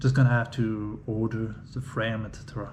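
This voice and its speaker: In a room with audible echo, a man talks at a medium pitch with fairly even intonation. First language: French. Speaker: 3D printing hobbyist. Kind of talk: unboxing video. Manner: halting.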